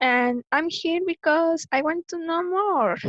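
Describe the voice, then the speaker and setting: Lively intonation in a Spanish accent, with a dry, close sound and no echo. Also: woman. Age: young. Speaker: intern. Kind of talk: self-introduction. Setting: video call. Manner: halting.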